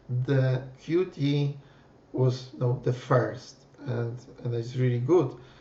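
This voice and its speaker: A man speaks with a Polish accent at a very slow pace, in a medium pitch. His intonation is fairly even, broken by long, frequent pauses. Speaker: PhD student and software developer. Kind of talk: presentation. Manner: halting, many fillers.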